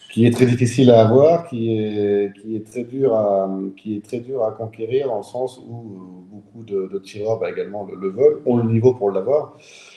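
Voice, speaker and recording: A man speaks at a moderate pace with hardly any pauses, his medium pitch held in fairly even intonation. His loudness swings widely, and there is noticeable background noise. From central France, south of Tours. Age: 40s. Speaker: clay shooting champion. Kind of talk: interview. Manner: hesitant, repeats words.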